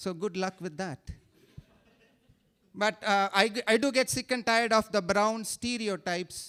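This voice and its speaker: A man's high, bright, sharp voice in an Indian accent, with ordinary pitch variation, a moderate pace and long, frequent pauses, dry and close with no echo in a very clean recording against a silent background. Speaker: stand-up comedian. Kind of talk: stand-up. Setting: stage with audience. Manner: animated.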